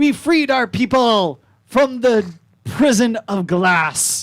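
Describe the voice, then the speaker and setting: At a very slow pace, a put-on character voice speaks with a fairly high pitch. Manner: gremlin-like.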